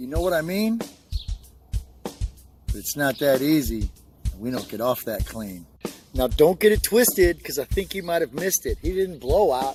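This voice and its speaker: Music plays behind a man speaking at a moderate pace with very wide swings in pitch. He leaves long pauses, and often. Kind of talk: spoken word poetry delivery. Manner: rhythmic, rhyming, motivational.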